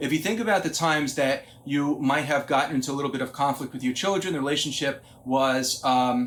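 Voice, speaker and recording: A man's fairly high voice with audible room echo. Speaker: psychologist and parenting speaker. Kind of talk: lecture. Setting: conference talk.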